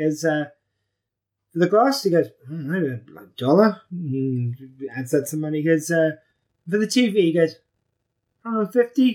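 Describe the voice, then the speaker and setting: Very slow and playful in tone, a voice with a British accent moves through very wide pitch swings, broken by long, frequent pauses. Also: man, fairly high pitch for a man. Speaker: podcast co-host. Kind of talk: casual banter. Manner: joking, swearing, playful.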